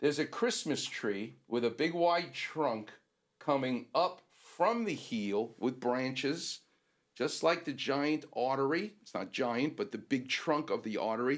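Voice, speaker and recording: With lively intonation and an ordinary speaking voice, the man takes a fairly slow pace. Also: fairly high pitch for a man. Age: 60s. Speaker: orthopedic doctor co-host. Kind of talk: casual chat.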